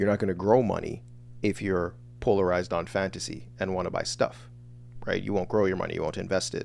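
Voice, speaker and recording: With vocal fry and a very deep, low pitch, a man talks at a fairly quick pace. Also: lively intonation. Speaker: online business coach. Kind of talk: livestream lecture. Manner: fast.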